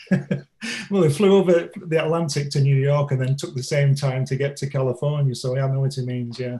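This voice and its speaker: With an English accent, a man speaks at a moderate pace in a somewhat breathy, dark, mellow tone, his fairly high pitch showing ordinary pitch variation. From Manchester, northern England. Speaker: graphic designer and comic author. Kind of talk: interview.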